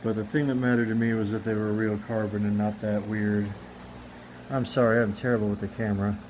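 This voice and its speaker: Very fast and monotone, a man with a fairly low pitch speaks with flat intonation amid audible room echo. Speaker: car enthusiast youtuber. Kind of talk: tutorial. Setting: outdoors. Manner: casual; loud, talking over fan.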